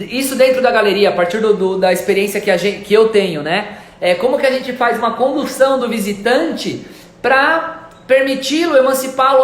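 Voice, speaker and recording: With noticeable background noise and audible room echo, a man talks at a moderate pace in an extremely high pitch with ordinary pitch variation. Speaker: art gallery owner. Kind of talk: live stream talk. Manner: halting.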